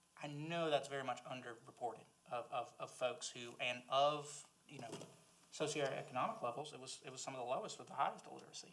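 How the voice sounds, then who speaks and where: In a strong Southern US accent, someone talks at a very fast pace with ordinary pitch variation and big swings in loudness. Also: man, fairly high pitch for a man. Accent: Southern US accent, strong and lasting. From South Carolina. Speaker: library board member, former teacher. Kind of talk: board meeting discussion. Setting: public board meeting.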